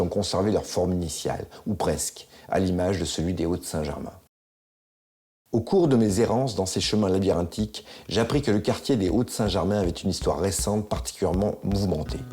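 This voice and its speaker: A man talks at a fairly quick pace with lively intonation. His pitch is fairly low, his tone dark and mellow. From France, Isère (L'Isle-d'Abeau). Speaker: documentary maker. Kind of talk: scripted narration.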